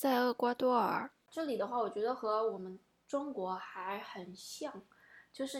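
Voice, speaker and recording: At a fairly slow pace and with ordinary pitch variation, this is a normal speaking voice. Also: woman. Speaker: podcast host. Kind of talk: casual chat.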